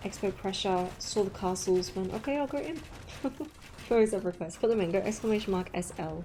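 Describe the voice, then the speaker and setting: A woman with an Australian accent at a fairly quick pace, with noticeable background noise. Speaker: esports caster. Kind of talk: live commentary. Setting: live stream. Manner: animated.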